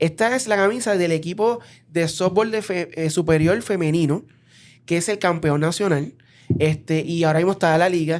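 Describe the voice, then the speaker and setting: At a moderate pace and with ordinary pitch variation, the voice comes through in a very clean recording with a silent background. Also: man, high pitch for a man. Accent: Puerto Rican. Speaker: podcast host. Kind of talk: interview.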